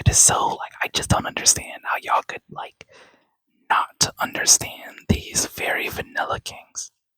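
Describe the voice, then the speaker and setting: The speaker keeps a moderate pace while whispering. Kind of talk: casual talk to camera, ASMR opinion rant. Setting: quiet home setting. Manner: soft-spoken.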